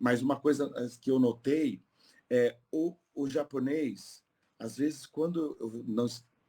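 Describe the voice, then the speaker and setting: Speaking at a very slow pace, a man uses a dark, mellow tone at medium pitch with ordinary pitch variation. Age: 50s. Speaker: polyglot tour guide. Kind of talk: podcast interview.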